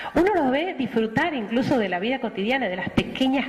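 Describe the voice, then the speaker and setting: With a Rioplatense accent, a woman speaks in an animated tone at a moderate pace. Her pitch swings very widely over noticeable background noise. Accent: Argentine Spanish (rioplatense). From Argentina. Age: 40s. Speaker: missionary nun. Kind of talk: testimony.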